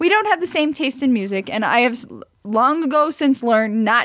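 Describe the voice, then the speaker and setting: Talking at a fairly quick pace, a woman with an American accent uses lively intonation. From US Midwest, near Branson, Missouri. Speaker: podcast co-host. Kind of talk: casual chat. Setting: recording while streaming live on video.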